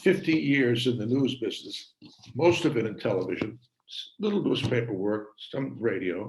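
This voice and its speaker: The speaker talks at a moderate pace with lively intonation. Vocal fry runs through the voice. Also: man. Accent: American. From Massachusetts, Worcester. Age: 80s+. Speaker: retired TV journalist. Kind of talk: talk to an audience. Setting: video call. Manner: halting, many fillers.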